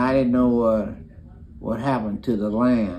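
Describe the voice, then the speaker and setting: With an East Texas accent, a man speaks at a fairly slow pace. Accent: Southern US (East Texas). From Beaumont, Texas. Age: 80s+. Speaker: grandfather telling family history. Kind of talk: interview answer. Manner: halting, hesitant. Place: home room. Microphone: phone near.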